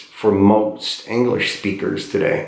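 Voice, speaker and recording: A man at a very slow pace, with audible room echo. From Eastern Europe. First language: not English; third language, born in Eastern Europe. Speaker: poet. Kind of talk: casual talk to a class. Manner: halting, many fillers and repeats.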